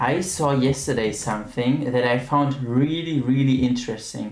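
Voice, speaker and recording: A man with a medium pitch speaks at a moderate pace. His intonation is fairly even, and room echo is audible. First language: German. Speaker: streamer. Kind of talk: casual chat. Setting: live stream.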